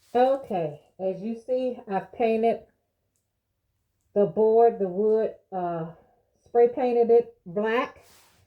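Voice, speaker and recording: The speech goes at a very slow pace with long, frequent pauses. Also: woman, fairly high pitch for a woman, ordinary pitch variation. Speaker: crafter. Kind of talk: tutorial. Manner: casual.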